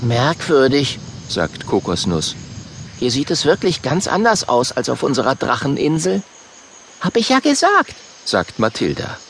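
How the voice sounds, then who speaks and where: Noticeable background noise sits behind a man talking at a fairly slow pace. His speech is broken by long, frequent pauses. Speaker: audiobook narrator. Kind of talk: audiobook narration for children, reading aloud with character voices.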